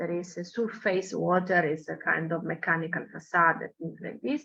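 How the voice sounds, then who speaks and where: A woman speaks with an Italian accent. Her tone is bright and sharp. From Italy. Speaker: architecture professor. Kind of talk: lecture. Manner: halting, with frequent fillers.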